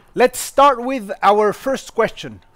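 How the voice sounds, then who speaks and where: A man is speaking. He has a French accent. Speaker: university lecturer and interviewer. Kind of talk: interview introduction.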